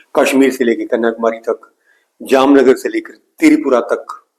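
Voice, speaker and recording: This is a man speaking in a Punjabi accent. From Punjab, India (Bathinda area). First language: Punjabi (speaking Hindi). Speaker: music teacher. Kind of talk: tutorial.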